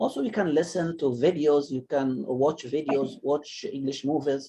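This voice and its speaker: With an Arabic accent, a man speaks in a dark, mellow, somewhat breathy voice at a fairly high pitch. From Egypt. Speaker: English teacher. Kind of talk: online class discussion. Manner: halting.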